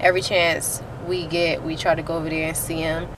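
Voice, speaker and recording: A woman at a fairly low pitch and moderate pace, with noticeable background noise. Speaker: vlogger. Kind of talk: casual vlog. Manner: hesitant, many fillers.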